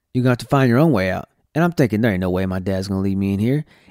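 A man with an American accent and lively intonation, recorded dry and close with no echo, very clean against a silent background. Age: 30s. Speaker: podcast host and minister. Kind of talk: personal testimony. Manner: casual, with frequent fillers.

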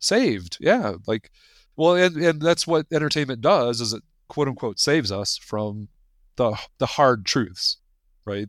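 With long, frequent pauses and very wide pitch swings, a man talks at a medium pitch in a very clean, dry, close recording with a silent background and no echo. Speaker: podcast host. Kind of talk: interview conversation.

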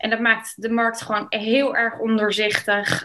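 The woman's voice has a bright, sharp tone. Her pitch is fairly high. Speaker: real estate agent and lawyer. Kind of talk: interview.

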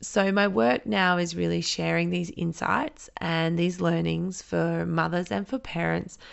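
A woman with an Australian accent, at a fairly slow pace. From South Australia, rural Riverland. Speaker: podcast host, parent educator and therapist. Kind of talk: solo podcast monologue.

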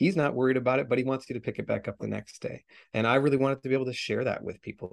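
Speaking very fast with vocal fry, a man with a western Canadian accent keeps a medium pitch, and the sound is dry and close with no echo. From Canada, Vancouver area. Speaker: author. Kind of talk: interview.

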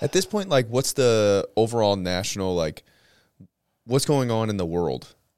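A man speaks at a moderate pace in a plain, everyday voice, his pitch medium and his intonation lively. The recording is very clean, with a silent background. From St. Louis, Missouri. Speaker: podcast host and police officer. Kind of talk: casual interview conversation. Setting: studio with podcast mics.

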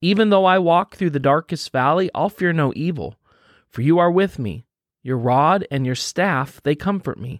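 A man's plain, everyday voice at a moderate pace, fairly high in pitch with ordinary pitch variation, in a dry, close sound with no echo. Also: very clean recording, silent background. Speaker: pastor. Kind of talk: guided devotional prayer with scripture reading, fervent prayer. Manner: earnest, warm, fervent and intimate in prayer; gentle, encouraging, conversational with some fillers.

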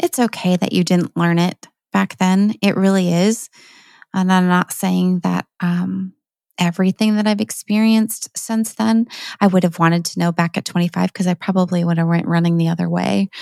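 A woman at a moderate pace with very even loudness and fairly even intonation, a dry, close sound with no echo, in a very clean recording with a silent background. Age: 50s. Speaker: podcast host. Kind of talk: casual monologue. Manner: halting.

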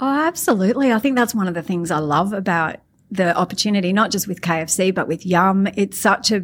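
A woman with an Australian accent and a medium-pitched voice, on a very clean recording with a silent background. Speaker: marketing executive. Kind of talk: interview.

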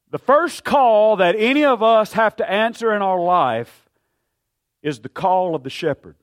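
Loud and high-pitched, a man speaks at a fairly slow pace with lively intonation on a very clean recording with a silent background. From grew up in the town of his church. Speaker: pastor. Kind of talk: sermon. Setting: church.

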